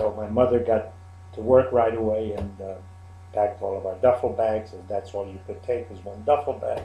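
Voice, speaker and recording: Somewhat breathy, a man talks at a moderate pace in a fairly low pitch with a dark, mellow tone, fairly even intonation and big swings in loudness. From Czechoslovakia. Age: 70s. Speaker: Holocaust survivor. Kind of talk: interview testimony. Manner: halting.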